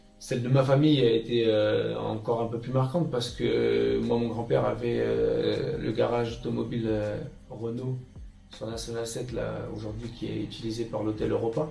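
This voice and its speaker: Music plays in the background as a man speaks at a moderate pace amid audible room echo. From France, Roussillon area near Lyon (Isère). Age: 30s. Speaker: retired professional footballer. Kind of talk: interview. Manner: hesitant, many fillers.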